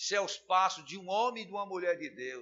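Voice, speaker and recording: The speaker is a man. His voice has a high pitch. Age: 60s. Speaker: pastor. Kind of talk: sermon.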